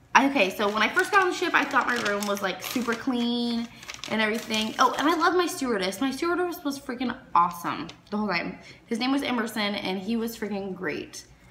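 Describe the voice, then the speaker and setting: Light background noise and audible room echo accompany a woman speaking at a fairly quick pace. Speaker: cruise reviewer. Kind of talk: casual vlog chat. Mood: candid, mildly complaining. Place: home room. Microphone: phone near.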